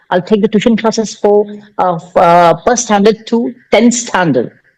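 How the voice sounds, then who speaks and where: The man's voice sits high, and his pitch moves in an ordinary way. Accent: Indian. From India, Karnataka. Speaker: tutor running coaching institute. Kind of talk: casual conversation practice. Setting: video call. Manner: halting, many fillers.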